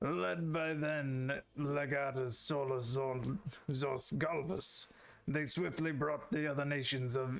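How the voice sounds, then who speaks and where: Fairly unhurried in pace, the man delivers his lines in a put-on character voice. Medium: game stream. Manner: gruff, blunt, archaic phrasing.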